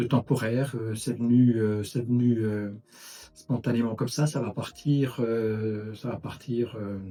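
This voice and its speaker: At a very slow pace, a man speaks in a medium-pitched, dark, mellow voice with flat, monotone intonation. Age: 60s. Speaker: retired engineer, patient with pulsatile tinnitus. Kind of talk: testimony. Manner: halting, many hesitations.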